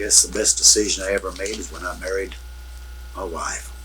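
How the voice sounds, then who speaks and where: An American accent at a moderate pace, with noticeable background noise and audible room echo. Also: man. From US Midwest, Evansville, Indiana. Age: 70s. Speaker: grandfather recording memories for family. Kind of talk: recorded family interview. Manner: halting.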